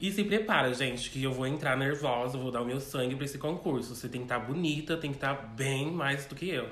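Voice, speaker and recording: A man at a very fast pace with hardly any pauses, amid noticeable background noise and audible room echo. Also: fairly high pitch for a man, ordinary pitch variation. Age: 20s. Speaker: drag queen, pageant contestant. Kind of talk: interview. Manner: calm.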